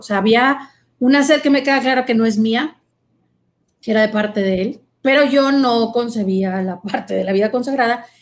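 A normal speaking voice from a woman, pitched fairly high, moderate in pace, with ordinary pitch variation. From Mexico, Monterrey. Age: 40s. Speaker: consecrated virgin and psychologist. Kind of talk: testimony.

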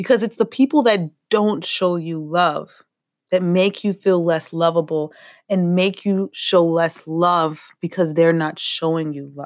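A woman speaks in a normal speaking voice, fairly low in pitch, with ordinary pitch variation and a fairly slow pace. The recording is very clean, with a silent background. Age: 30s. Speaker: spiritual healing podcaster. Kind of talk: motivational monologue.

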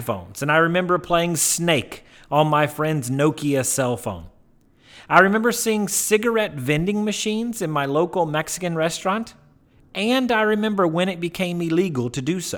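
With an American accent, a man speaks at a moderate pace in a high pitch with ordinary pitch variation, on a very clean recording with a silent background. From US South, Mississippi. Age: 30s. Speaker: educator podcast host. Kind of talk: personal narrative monologue.

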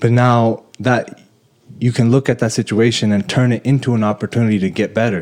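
A normal speaking voice from a man at medium pitch, fairly quick in pace, with fairly even intonation and very even loudness. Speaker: podcast host. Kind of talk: casual chat.

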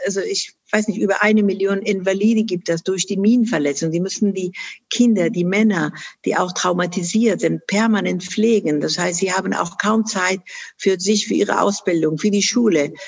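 This woman talks at a moderate pace. Her medium pitch has ordinary variation. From Afghanistan, Kunduz. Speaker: charity founder and chairwoman. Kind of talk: interview. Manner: hesitant with many fillers.

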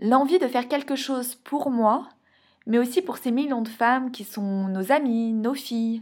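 A woman speaks very slowly in a high voice with ordinary pitch variation. The recording is very clean, with a silent background. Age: 30s. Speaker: podcast host and endometriosis patient. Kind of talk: scripted narration.

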